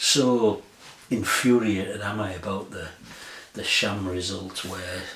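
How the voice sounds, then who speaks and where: With a northern English accent, a man speaks at a fairly slow pace in a fairly low pitch and monotone, flat intonation, with audible room echo and noticeable background noise. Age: 60s. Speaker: music vlogger. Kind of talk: casual chat. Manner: rambling, hesitant with fillers.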